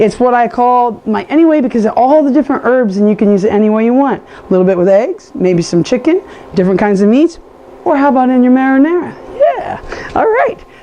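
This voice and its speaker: A woman with a high voice speaks at a fairly quick pace in an animated tone. Background noise is noticeable. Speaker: cooking show host. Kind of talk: cooking tutorial. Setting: home kitchen with camera person.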